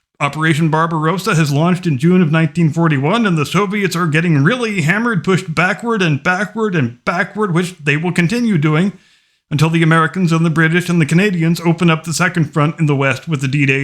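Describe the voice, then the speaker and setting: A man with an unremarkable speaking voice, fairly high pitch, ordinary pitch variation, very even loudness and a fairly quick pace. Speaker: history commentator. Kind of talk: history narration.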